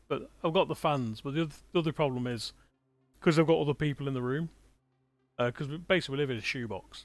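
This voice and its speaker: Music plays in the background as the voice moves with ordinary pitch variation. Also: man. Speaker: gaming streamer. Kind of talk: live gameplay commentary. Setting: small room with other people.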